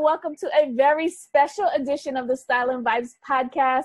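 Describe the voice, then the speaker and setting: At a fairly quick pace, a woman speaks in an energetic tone. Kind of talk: podcast host talk. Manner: lively, energetic.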